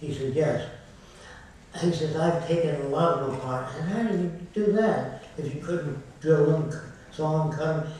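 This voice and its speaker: Through strong room echo and light background noise, a man speaks at a moderate pace with fairly even intonation. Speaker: lecturer on a panel. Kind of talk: lecture storytelling. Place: hall.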